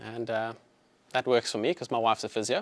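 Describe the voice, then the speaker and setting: At a fairly quick pace, a man speaks with a South African accent. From South Africa, Johannesburg. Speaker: chiropractor. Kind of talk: health talk to live audience. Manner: casual, filler-heavy.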